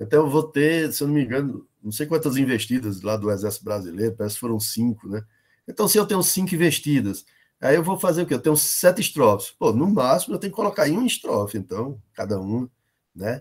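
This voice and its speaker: With very wide pitch swings, a man talks at a very fast pace in a fairly high pitch. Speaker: professor teaching a workshop. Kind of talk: online workshop lecture.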